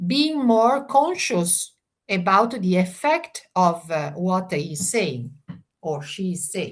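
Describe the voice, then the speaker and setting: A woman speaks at a very slow pace in a somewhat breathy voice, her pitch swinging very widely. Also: medium pitch for a woman. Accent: Italian. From Italy. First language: Italian. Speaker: family mediator. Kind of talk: interview. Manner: halting, many fillers.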